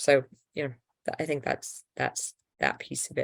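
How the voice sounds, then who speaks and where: A woman with an English accent talks at a fairly quick pace in a very deep, low pitch. The sound is dry and close, with no echo. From England. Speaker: nonprofit founder and health-rights advocate. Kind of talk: live Q&A answering viewer questions. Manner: casual, many fillers and restarts.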